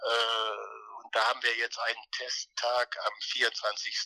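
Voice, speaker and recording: A man's voice comes through dry and close, with no echo. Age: 60s. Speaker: former racing driver. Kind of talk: interview. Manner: halting, many repetitions and fillers.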